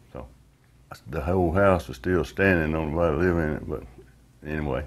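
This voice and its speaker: This man speaks with a Southern US accent. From US South, northwest Florida. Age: 70s. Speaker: retired worker and credit union board member. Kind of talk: oral history interview. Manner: casual, with frequent hesitations.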